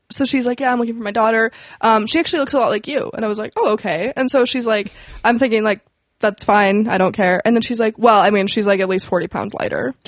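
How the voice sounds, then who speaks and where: Speech comes at a very fast pace from a woman. The background is quiet. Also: fairly high pitch for a woman, ordinary pitch variation. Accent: western Canadian. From Canadian prairies, Alberta. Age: 20s. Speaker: comedian and restaurant server. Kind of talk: casual chat, telling work stories. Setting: studio.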